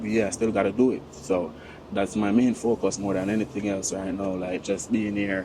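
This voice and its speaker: Speaking at a moderate pace, a man delivers his words in a monotone, flat intonation at a fairly low pitch. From Jamaica. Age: 30s. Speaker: hotel waiter. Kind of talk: interview answer. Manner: casual, conversational.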